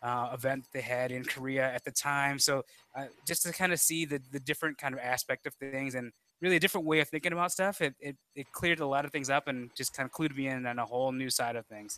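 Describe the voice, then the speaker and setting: A man with an American accent talks at a very fast pace in a fairly high pitch, his tone bright and sharp, his intonation fairly even, and the sound dry with no echo. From Chicago, US Midwest. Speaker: podcast co-host, toy collector; podcast co-host. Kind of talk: casual chat. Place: home room. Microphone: headset.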